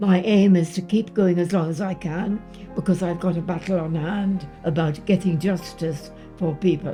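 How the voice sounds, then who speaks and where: Against music in the background, a woman with a British accent speaks in a fairly low pitch with fairly even intonation. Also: moderate pace. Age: 80s+. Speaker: war veteran. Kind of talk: personal testimony to camera.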